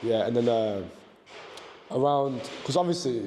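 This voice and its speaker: A medium-pitched male voice at a very fast pace, over noticeable background noise. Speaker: amateur MMA fighter. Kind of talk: podcast interview.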